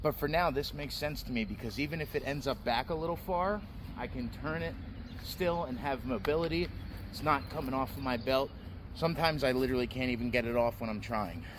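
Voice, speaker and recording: The speaker moves at a fairly quick pace with lively intonation. Vocal fry runs through the voice. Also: man, medium pitch for a man. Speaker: knife reviewer. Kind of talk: product review. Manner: loud.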